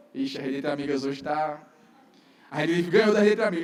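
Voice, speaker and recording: A high-pitched man speaks with lively intonation amid audible room echo. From northeastern Brazil, João Pessoa. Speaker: pastor. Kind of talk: sermon. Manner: fast.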